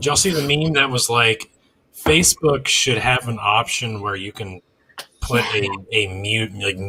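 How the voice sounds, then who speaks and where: A man's unremarkable speaking voice at medium pitch, delivered at a moderate pace. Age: 30s. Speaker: podcast host. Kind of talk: casual chat.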